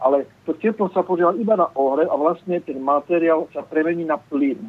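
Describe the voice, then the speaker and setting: A man's fairly high voice with a Slovak accent, lively intonation, and a moderate pace. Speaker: caller. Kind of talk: phone-in question. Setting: phone call.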